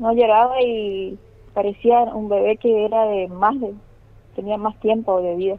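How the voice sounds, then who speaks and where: Delivered at a fairly slow pace, a woman's fairly high voice stays monotone and flat. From Chaco, Argentina (Machagai). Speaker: police officer. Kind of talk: phone interview. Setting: phone call.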